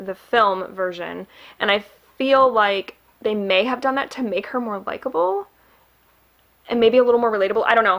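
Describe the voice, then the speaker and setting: A woman with a Midwestern accent talks at a moderate pace. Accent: Midwest. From Michigan, US Midwest. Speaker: booktuber. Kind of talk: casual book review vlog. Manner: chatty, many fillers.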